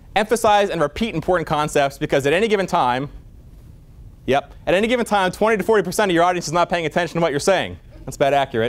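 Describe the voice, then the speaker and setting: A man talks loudly at a high pitch and a very fast pace. His tone is animated, with lively intonation. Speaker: physician lecturer. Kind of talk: lecture. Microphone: no microphone, projecting voice.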